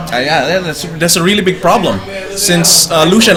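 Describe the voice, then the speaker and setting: Noticeable background noise sits behind this recording. A man talks at a fairly quick pace in a high pitch. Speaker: esports shoutcaster in training. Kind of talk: esports game commentary (shoutcasting).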